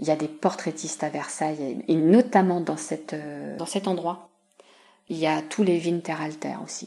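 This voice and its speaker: A woman's very deep, low voice with a dark, mellow tone, vocal fry and ordinary pitch variation, at a moderate pace over a quiet background. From Paris region, France (Yvelines). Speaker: museum collections officer. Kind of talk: interview. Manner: hesitant, many fillers.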